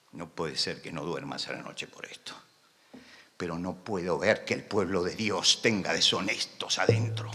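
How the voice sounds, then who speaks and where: Audible room echo surrounds the voice. The pace is moderate, with ordinary pitch variation. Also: man. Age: 70s. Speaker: pastor. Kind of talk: sermon. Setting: conference with audience. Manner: impassioned.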